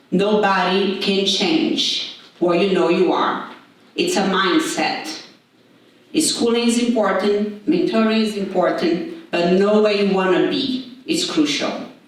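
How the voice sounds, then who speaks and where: Over noticeable background noise and audible room echo, a woman speaks very slowly at a medium pitch, with very wide pitch swings but very even loudness. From Latin America. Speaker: conference speaker. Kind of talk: motivational speech.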